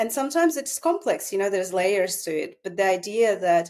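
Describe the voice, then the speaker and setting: Speaking with a Russian accent, this voice shows ordinary pitch variation. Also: woman. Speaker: psychotherapist. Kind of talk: casual chat.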